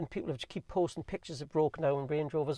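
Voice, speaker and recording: Against a quiet background, a man with a Geordie accent talks very fast at a fairly high pitch in a dark, mellow tone. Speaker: car owner vlogger. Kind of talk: casual review monologue.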